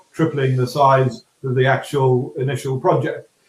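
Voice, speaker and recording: A man's medium-pitched voice at a moderate pace, monotone with flat intonation. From Scotland. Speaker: property developer. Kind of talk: panel discussion. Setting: webinar. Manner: halting.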